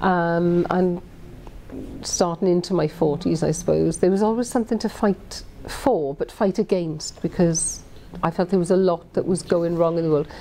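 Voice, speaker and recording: A woman with a Welsh accent speaks at a moderate pace and a fairly low pitch, with fairly even intonation. Her loudness stays very even, though noticeable background noise is present. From Wales. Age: 50s. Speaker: politician. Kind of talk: interview answer. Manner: conversational with hesitations.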